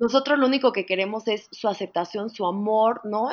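At a moderate pace, a woman with a Mexican accent speaks at a fairly high pitch. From Mexico. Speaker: psychologist. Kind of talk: interview.

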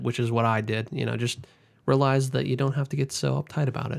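With fairly level intonation, an unremarkable speaking voice goes along at a fairly quick speed. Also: man. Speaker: podcast co-host. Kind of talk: casual chat.

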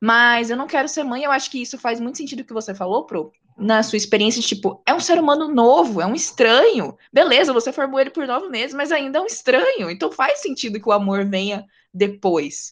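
A woman's high pitch at a fairly quick pace, with lively intonation. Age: 20s. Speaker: podcast host. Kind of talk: casual interview chat. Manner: animated.

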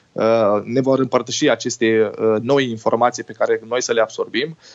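A man's medium-pitched voice holds a monotone, flat intonation at a moderate pace. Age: 30s. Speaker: tour guide and travel agency director. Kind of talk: podcast interview. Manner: hesitant, frequent word repetitions.

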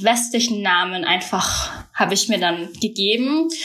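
A woman talks at a fairly slow pace with a fairly high pitch. Noticeable background noise and audible room echo are present. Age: 20s. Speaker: university student. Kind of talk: casual chat.

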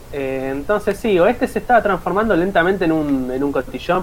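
Over noticeable background noise, a man talks very fast with very wide pitch swings. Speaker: podcast co-host, teacher trainee. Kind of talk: casual chat. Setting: live stream.

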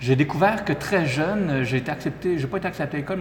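A man speaks with ordinary pitch variation. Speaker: entrepreneur. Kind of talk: interview.

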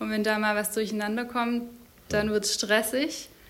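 A woman's fairly high voice in a monotone, flat intonation at a moderate pace. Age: 30s. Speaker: medical student and mother. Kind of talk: interview.

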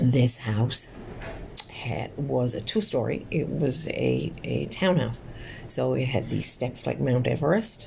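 Very slowly and with a Newfoundland accent, a woman speaks amid audible room echo and noticeable background noise. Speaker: podcast host. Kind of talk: casual monologue. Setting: hospital room.

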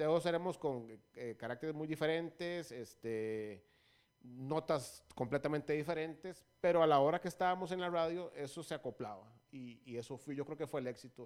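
In a very clean recording with a silent background, a man talks in a normal speaking voice at a fairly high pitch, with ordinary pitch variation and a moderate pace. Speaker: radio DJ and former record label promoter. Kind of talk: casual interview chat.

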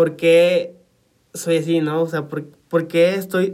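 Speaking at a very slow pace, the man has a high pitch. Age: 20s. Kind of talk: personal testimony. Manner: halting, many fillers.

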